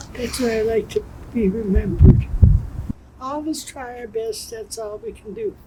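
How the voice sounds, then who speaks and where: A woman speaks with long, frequent pauses and big swings in loudness, over noticeable background noise. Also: moderate pace. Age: 80s+. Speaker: senior living resident. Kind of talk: interview.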